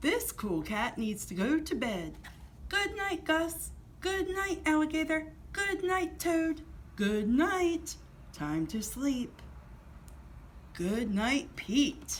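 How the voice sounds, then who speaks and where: A put-on character voice moves at a very slow pace, broken by long, frequent pauses. Background noise is clearly heard. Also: woman, high pitch for a woman. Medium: read story. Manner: mellow, cool.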